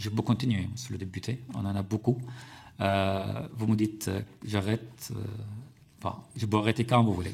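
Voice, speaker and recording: A man speaks with an Arabic accent. His voice is somewhat breathy, with fairly even intonation. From Syria. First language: Arabic (speaking French). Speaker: journalist and author. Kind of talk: parliamentary committee testimony. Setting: parliamentary hearing room. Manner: halting, many hesitations.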